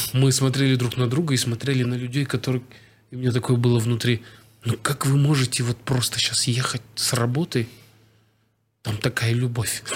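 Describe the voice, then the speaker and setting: Speaking at a moderate pace with long, frequent pauses, a man talks in a somewhat breathy, monotone, flat voice. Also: medium pitch for a man, very even loudness. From Kazakhstan. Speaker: actor and screenwriter. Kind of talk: casual chat.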